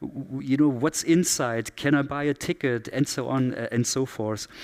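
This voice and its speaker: In a German accent, a man speaks at a fairly high pitch with fairly even intonation. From southern Germany. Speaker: keynote speaker, digital strategy expert. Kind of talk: conference keynote.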